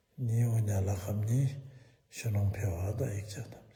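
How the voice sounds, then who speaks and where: A man's dark, mellow, somewhat breathy voice at a fairly slow pace, with fairly even intonation and audible room echo. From eastern Bhutan. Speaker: Buddhist teacher. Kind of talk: dharma talk.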